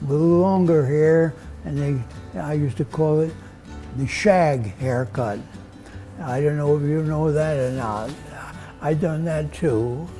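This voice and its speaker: With faint music in the background, a man speaks at a fairly slow pace with ordinary pitch variation. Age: 80s+. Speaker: barber. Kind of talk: interview answer. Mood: warm, reminiscing. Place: shop. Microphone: lapel.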